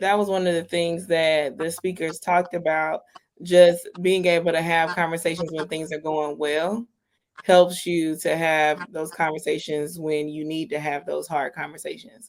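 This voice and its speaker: In a flat, monotone intonation, a woman with a fairly low pitch speaks at a moderate pace. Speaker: podcast co-host. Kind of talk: casual chat. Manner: soft-spoken.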